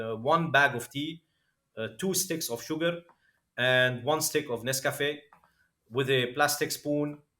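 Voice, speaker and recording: A man speaks in a Lebanese accent with a bright, sharp tone and fairly high pitch. His pace is fairly slow, with long, frequent pauses and ordinary pitch variation. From Lebanon. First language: Arabic. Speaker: crypto entrepreneur. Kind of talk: podcast interview, personal story.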